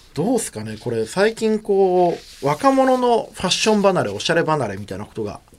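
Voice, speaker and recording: Over noticeable background noise, a man with a high pitch speaks with very wide pitch swings and big swings in loudness. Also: fairly quick pace. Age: 30s. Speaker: radio host and PR creative director. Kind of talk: radio talk show. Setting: radio studio. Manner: casual, chatty.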